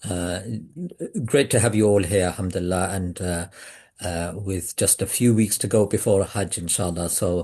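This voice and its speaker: A man's very deep, low voice with a British accent, dark and mellow in tone, somewhat breathy, monotone and flat, at a moderate pace over a quiet background. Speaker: webinar host for pilgrimage travel group. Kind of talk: online webinar introduction. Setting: Zoom video call. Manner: hesitant, many fillers.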